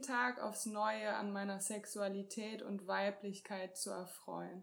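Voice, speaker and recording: This woman has an ordinary speaking voice at medium pitch. Her intonation is fairly even. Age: 20s. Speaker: co-host, couples and sex therapist. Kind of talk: self-introduction.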